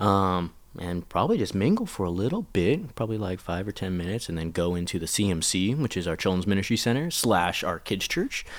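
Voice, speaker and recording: A man with a plain, everyday voice talks at a fairly quick pace, using ordinary pitch variation and hardly any pauses. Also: fairly low pitch for a man, very clean recording, silent background. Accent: American. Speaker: children's pastor. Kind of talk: casual chat.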